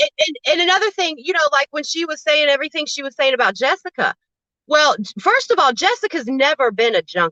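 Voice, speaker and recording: In a dry, close sound with no echo, a woman uses a raised, projected voice that is high, bright and sharp, moving at a fairly quick pace with very wide pitch swings. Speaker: YouTube livestreamer. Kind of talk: casual chat. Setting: live stream. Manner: loud.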